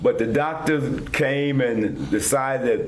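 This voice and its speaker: The speaker talks with a Virginia Tidewater accent. Audible room echo and noticeable background noise accompany the voice. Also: man. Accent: US Southern, Virginia Tidewater. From Virginia, Northern Neck (Whitestone). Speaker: war veteran. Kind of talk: interview.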